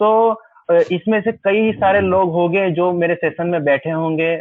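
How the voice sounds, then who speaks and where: In a Gujarati accent, a high-pitched man talks with fairly even intonation. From Gujarat, India. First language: Gujarati (speaking Hindi). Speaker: wedding photographer and workshop presenter. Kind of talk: webinar lecture. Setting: video call webinar. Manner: simple, sober delivery.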